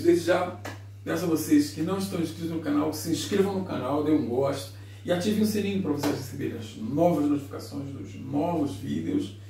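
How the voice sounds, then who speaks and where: Fairly quick speech from a man amid light background noise and audible room echo. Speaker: home cooking vlogger. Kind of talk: casual cooking tutorial. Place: kitchen. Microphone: camera far.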